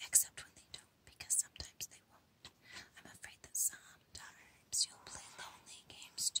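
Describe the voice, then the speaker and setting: The speaker whispers. The pace is moderate. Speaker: ASMR creator. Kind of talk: whispered book reading for ASMR. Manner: whispered, soft.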